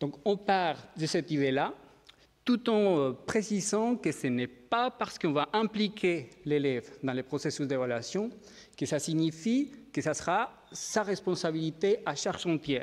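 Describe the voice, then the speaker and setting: On a very clean recording with a silent background, a high-pitched man speaks at a fairly slow pace with lively intonation. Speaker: education researcher. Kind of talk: conference talk. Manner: hesitant, many fillers.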